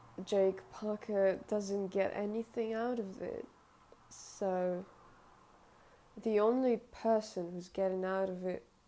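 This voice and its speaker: A woman at medium pitch, very slow and fairly even, with long, frequent pauses. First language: not English. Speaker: artist and video creator. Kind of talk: casual vlog talk to camera. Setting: indoors, filming in front of a window. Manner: halting, many hesitations and self-corrections.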